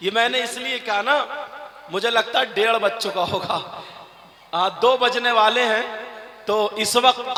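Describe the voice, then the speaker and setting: Over noticeable background noise, a man talks in a raised, projected voice at an extremely high pitch. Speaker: Islamic preacher. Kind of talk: religious sermon to a night gathering. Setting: outdoor public gathering, live.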